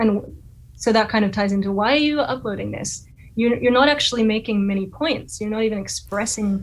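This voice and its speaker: A woman with a somewhat breathy, fairly high-pitched voice talks at a fairly quick pace with ordinary pitch variation. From Australia, Sydney. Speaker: violinist and YouTuber. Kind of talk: casual interview chat.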